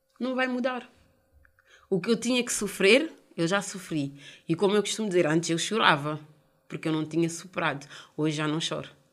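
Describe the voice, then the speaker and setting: A woman with a fairly low pitch and lively intonation, at a fairly quick pace broken by long, frequent pauses. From Portugal, of Cape Verdean and Guinean parents. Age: 30s. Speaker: mother of five sharing her life story. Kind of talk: personal testimony.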